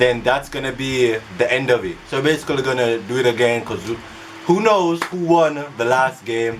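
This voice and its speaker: Someone with an American accent talks at a moderate pace with ordinary pitch variation over noticeable background noise. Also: man, medium pitch for a man. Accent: mostly American, some Jamaican patois. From Jamaica. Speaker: YouTuber. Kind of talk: casual vlog talk.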